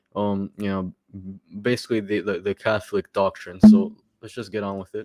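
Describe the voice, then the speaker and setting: With music in the background, a man speaks at a fairly quick pace with monotone, flat intonation in a dry, close sound with no echo. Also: fairly low pitch for a man. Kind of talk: live stream commentary. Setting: live stream. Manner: halting, with repetitions.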